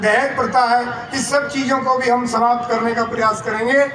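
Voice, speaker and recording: A man speaks in a raised, projected voice at an extremely high pitch with flat, monotone intonation, while noticeable background noise and audible room echo fill the recording. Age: 60s. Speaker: community leader, retired education officer. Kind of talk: public speech at rally. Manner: emphatic oratory.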